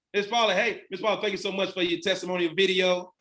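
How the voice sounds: With audible room echo, a man speaks fast in a high pitch and a fairly bright tone, his intonation fairly even.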